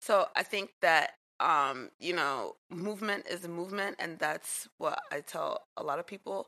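Speaking with a New York accent, a woman keeps a fairly slow pace. She leaves hardly any pauses. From New York City (Jamaica, Queens). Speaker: dance teacher. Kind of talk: casual chat.

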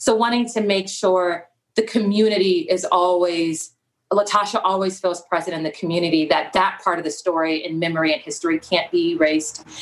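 An ordinary speaking voice from a woman at medium pitch, with ordinary pitch variation and a fairly quick pace. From South Central Los Angeles. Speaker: documentary filmmaker and photographer. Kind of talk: interview conversation.

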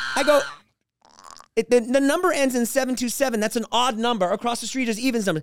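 Animated in tone, a man with an extremely high pitch talks at a very fast pace with ordinary pitch variation. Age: 50s. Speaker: comedian. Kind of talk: casual chat. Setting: studio.

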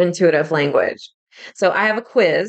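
This is a woman speaking. Her pitch sits at a medium level. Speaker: podcast host and spiritual medium. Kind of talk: solo podcast teaching talk. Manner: slow.

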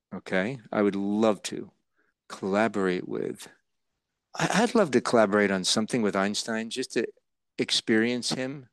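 A man with an American accent speaks in a fairly low pitch at a moderate pace, with fairly even intonation. He leaves long, frequent pauses against a quiet background. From New Jersey. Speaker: actor. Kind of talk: interview.

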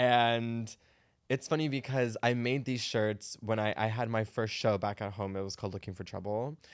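A man's medium-pitched, normal speaking voice with an American accent, ordinary pitch variation and a moderate pace, on a very clean recording with a silent background. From Arizona. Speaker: drag performer. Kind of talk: casual chat.

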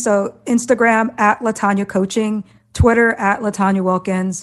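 A woman with an American accent at a moderate pace, against a quiet background. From US Midwest, Iowa. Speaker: executive team coach. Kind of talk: interview.

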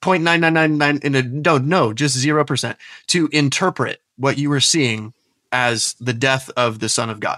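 Bright and sharp in tone, a man with an American accent and fairly high pitch speaks at a moderate pace with ordinary pitch variation, the sound dry and close with no echo. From Florida, US (Tampa Bay). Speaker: former pastor and doctoral researcher. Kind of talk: interview conversation. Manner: halting, frequent repetitions.

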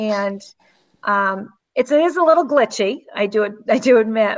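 At a fairly slow pace, this woman talks in a fairly high pitch. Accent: Massachusetts. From Southeast Massachusetts.

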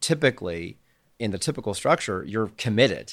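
In a Canadian accent, a man talks at a moderate pace in an ordinary speaking voice, fairly low in pitch. The recording is very clean, with a silent background. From Canada. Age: 40s. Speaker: angel investor. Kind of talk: casual chat.

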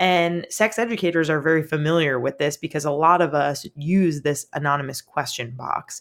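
The woman speaks at a moderate pace and very deep, low pitch with hardly any pauses and ordinary pitch variation, on a very clean recording with a silent background. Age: 30s. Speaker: sex educator and podcast host. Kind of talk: casual interview chat.

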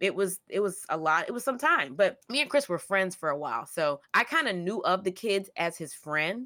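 A woman speaks at a fairly quick pace with an American accent and a medium pitch. Her tone is animated, with very wide pitch swings. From US South, Georgia. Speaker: podcast co-host. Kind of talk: casual chat.

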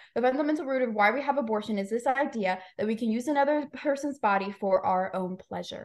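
At a fairly quick pace with hardly any pauses, a woman talks in a fairly high pitch with ordinary pitch variation and an unremarkable speaking voice. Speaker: pro-life podcaster. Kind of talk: casual chat.

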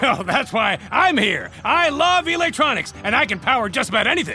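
A man puts on a character voice at a fairly quick pace. Background noise is clear. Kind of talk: comic overacting. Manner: excitable, enthusiastic.

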